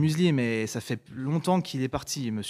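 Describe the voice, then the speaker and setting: A man with an unremarkable speaking voice talks at a fairly slow pace in a medium pitch. His intonation is lively, and the recording is very clean with a silent background. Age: 20s. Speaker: young politician, lawyer. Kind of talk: interview answer.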